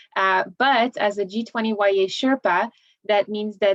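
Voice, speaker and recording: With a slight French accent, a woman speaks at a moderate pace and medium pitch, her intonation fairly even. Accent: slight francophone. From Belgium. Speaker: government relations specialist. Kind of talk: panel discussion.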